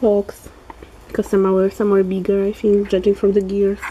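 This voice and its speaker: A woman with a Polish accent speaks at a moderate pace and a medium pitch. Noticeable noise is heard behind her. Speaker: polymer clay crafter. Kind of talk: tutorial. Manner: halting.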